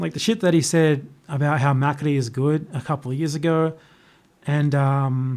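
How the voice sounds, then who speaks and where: An Australian accent at a moderate pace, with ordinary pitch variation. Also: man. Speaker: youtuber, live streamer. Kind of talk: casual chat. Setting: live stream from laptop.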